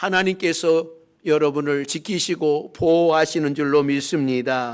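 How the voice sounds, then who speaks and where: The recording is very clean, the background silent. A man speaks at a fairly slow pace. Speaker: pastor. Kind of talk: sermon. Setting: church.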